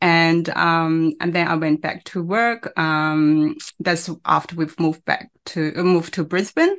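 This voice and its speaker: A woman's fairly low, monotone voice with flat intonation and a non-native accent, hardly any pauses, and a quiet background. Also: fairly slow pace. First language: not English. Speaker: online business owner and mother. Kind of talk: interview. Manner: halting.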